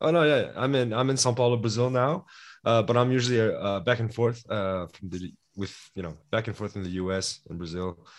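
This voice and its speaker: Over a quiet background, a man speaks at a fairly quick pace. His pitch is medium, with ordinary variation. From Los Angeles, California, Brazilian-born to Korean parents. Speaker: MBA admissions consultant. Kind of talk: interview. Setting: video call. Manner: halting, many fillers and restarts.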